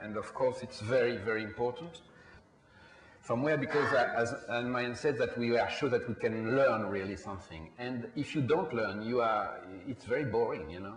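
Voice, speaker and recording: A man with a French accent, medium pitch, ordinary pitch variation and a moderate pace, with audible room echo and noticeable background noise. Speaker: film producer. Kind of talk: panel discussion. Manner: halting.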